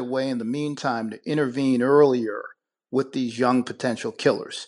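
A man with an American accent talks in a plain, everyday voice at a medium pitch and a moderate pace, with ordinary pitch variation. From Buffalo, New York. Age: 50s. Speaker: attorney and former candidate. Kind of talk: radio interview.

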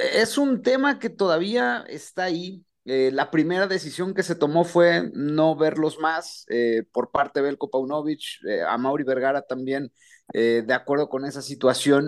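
In a plain, everyday voice, a man speaks at a fairly slow pace with lively intonation. His pitch is fairly high. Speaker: club beat reporter. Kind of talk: radio sports report.

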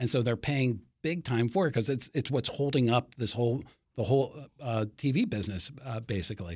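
A man with an American accent speaks at a fairly quick pace in a medium, somewhat breathy voice with ordinary pitch variation. The recording is very clean, with a silent background. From Washington, D.C. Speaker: sports media reporter. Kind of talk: interview.

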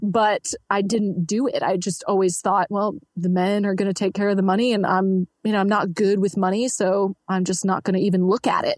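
A woman speaks at a medium pitch and a moderate pace, with monotone, flat intonation. Her loudness stays very even, and the sound is dry and close with no echo. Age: 20s. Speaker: entrepreneur coach and debt-free finance guest. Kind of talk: interview.

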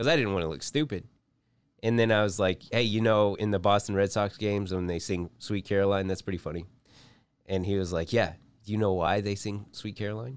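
A man's plain, everyday voice with an American accent, fairly low in pitch, at a fairly quick pace, with ordinary pitch variation. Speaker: comedy podcast co-host. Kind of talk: comedic casual banter. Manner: jokey, laughs often.

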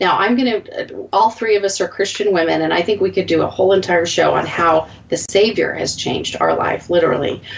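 A woman talking at a fairly quick pace with hardly any pauses, over noticeable background noise. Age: 40s. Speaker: podcast host. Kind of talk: casual chat.

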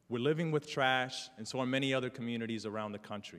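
With a New York accent, a man of medium pitch talks at a fairly quick pace. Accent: New York City. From New York City, South Bronx. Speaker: community organizer. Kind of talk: talk to an audience. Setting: stage with audience. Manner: halting.

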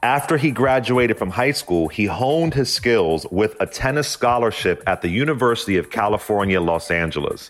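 A man uses an ordinary speaking voice at medium pitch and a moderate pace. His loudness stays very even, with hardly any pauses. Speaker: news anchor. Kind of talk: short radio news narration, history-today segment read from script. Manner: formal; even, steady newsreader pace.

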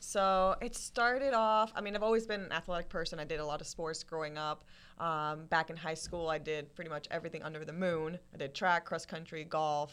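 With hardly any pauses, a woman speaks at a fairly quick pace, her fairly low voice showing ordinary pitch variation. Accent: Spanish. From Colombia, raised in US. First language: Spanish. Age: 20s. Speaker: fitness influencer.

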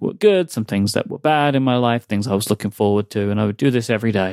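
Talking at a very fast pace in a London accent, a man comes through in a very clean recording with a silent background and a dry, close sound with no echo. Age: 30s. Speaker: podcaster and podcast network founder. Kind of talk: casual interview chat.

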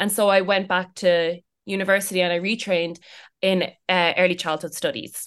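Against a quiet background, a woman with an Irish accent speaks at a medium pitch and a moderate pace, her intonation monotone and flat. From Ireland. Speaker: early childhood educator. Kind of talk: interview.

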